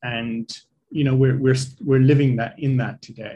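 A man speaks at a fairly slow pace in a somewhat breathy voice with monotone, flat intonation. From Ireland (Dublin), childhood also in Africa. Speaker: executive coach and entrepreneur. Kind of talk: casual interview.

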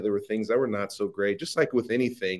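A Midwestern American accent at a very fast pace. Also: man. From US Midwest, Ohio. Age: young. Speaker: social media marketing entrepreneur. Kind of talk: interview conversation.

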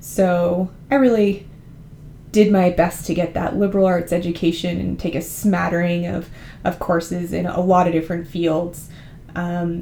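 A woman with a Californian accent and a fairly low pitch speaks fairly slowly with fairly even intonation. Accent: Californian American. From California, San Francisco Bay Area. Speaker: podcast host and university admissions advisor. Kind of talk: informational podcast monologue.

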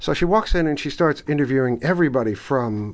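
A man with an American accent speaks at a fairly quick pace in a plain, everyday voice with a fairly high pitch. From New York City, Bronx. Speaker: podcast host. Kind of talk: interview, casual conversation.

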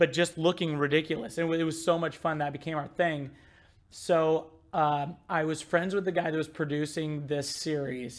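A man with an American accent and an unremarkable speaking voice, fairly high in pitch, at a moderate pace with fairly even intonation, in a very clean recording with a silent background. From US Midwest. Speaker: marketing director. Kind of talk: casual chat.

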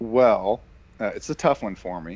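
Using a normal speaking voice, a man with an American accent talks at a moderate pace, fairly low in pitch, with lively intonation. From US South. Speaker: podcast host. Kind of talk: casual chat.

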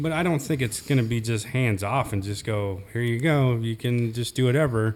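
A man speaks in a normal speaking voice at medium pitch and a moderate pace. His pitch varies in an ordinary way, and he leaves hardly any pauses. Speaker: podcast co-host. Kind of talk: casual panel discussion. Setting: studio, around a table.

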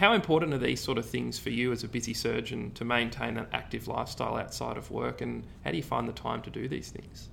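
A man with an Australian accent speaks at a very fast pace with hardly any pauses. Noticeable background noise can be heard. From Ballarat, Victoria, Australia. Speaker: podcast host, medical student. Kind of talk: interview.

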